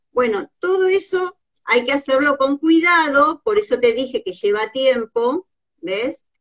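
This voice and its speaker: Her pitch high and swinging very widely, a woman speaks in a dry, close sound with no echo. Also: fairly slow pace. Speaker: visual artist and crafts teacher. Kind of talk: live-stream craft tutorial. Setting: Instagram live video.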